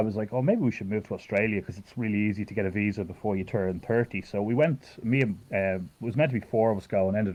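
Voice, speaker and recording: In a strong Irish accent, a man talks at a very fast pace with a fairly low pitch and ordinary pitch variation. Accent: thick Irish. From Ireland. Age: 30s. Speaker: fighting game player. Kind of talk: casual chat. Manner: halting.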